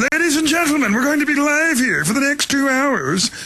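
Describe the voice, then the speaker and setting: A put-on character voice with a high pitch moves at a fairly quick pace over light background noise. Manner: booming, formal announcer delivery.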